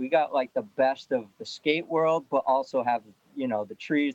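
A man with an American accent talks at a moderate pace. He has a normal speaking voice with ordinary pitch variation. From Lowell, Massachusetts. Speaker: pro skateboarder. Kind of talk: casual interview.

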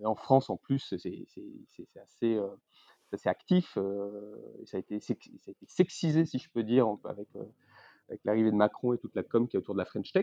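A man's medium-pitched voice with a dark, mellow tone, ordinary pitch variation, big swings in loudness, long and frequent pauses, and a dry, close sound with no echo. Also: moderate pace. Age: 30s. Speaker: investment banker. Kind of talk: interview.

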